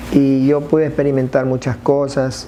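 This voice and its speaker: A man's voice, fairly high in pitch, comes at a moderate pace. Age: 60s. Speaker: church member giving testimony. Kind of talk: testimony. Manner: halting.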